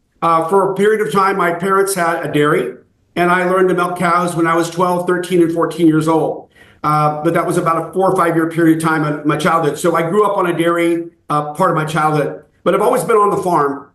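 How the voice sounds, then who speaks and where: In an American accent, a man speaks at a fairly quick pace and a high pitch, with monotone, flat intonation, very even loudness and audible room echo. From California (Fresno). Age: 60s. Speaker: raw dairy farmer. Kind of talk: interview.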